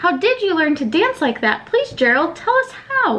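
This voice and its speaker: Doing a squeaky put-on character voice, a woman talks at an extremely high pitch with very wide pitch swings and a moderate pace. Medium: read story.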